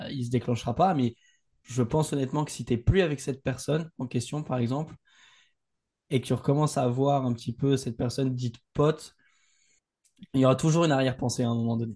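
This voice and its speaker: A man speaks at a very fast pace with long, frequent pauses, his medium-pitched voice somewhat breathy. His tone is dark and mellow, and his intonation stays fairly even. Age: 20s. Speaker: entrepreneur. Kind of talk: casual chat.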